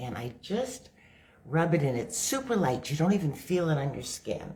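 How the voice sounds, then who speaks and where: A somewhat breathy woman's voice, very deep and low in pitch. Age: 60s. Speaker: makeup demonstrator and product seller. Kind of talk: live makeup tutorial. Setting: livestream on social media. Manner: casual, conversational.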